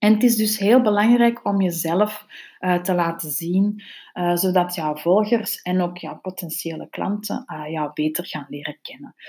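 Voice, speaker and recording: A woman speaks at medium pitch in a dark, mellow tone with ordinary pitch variation. Her pace is fairly slow, with big swings in loudness. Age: 40s. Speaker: podcast host, social media consultant. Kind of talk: solo podcast talk on business tips.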